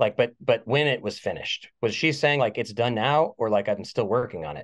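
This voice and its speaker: On a dry, close recording with no echo and a quiet background, a man talks in a plain, everyday voice at medium pitch and a moderate pace. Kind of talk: casual chat.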